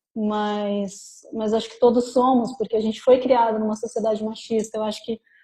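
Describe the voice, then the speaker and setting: A woman speaks at a fairly quick pace with a fairly high pitch. Her tone is dark and mellow, and her intonation stays monotone and flat. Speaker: talk presenter, works in law. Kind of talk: group discussion in a live talk. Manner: fast.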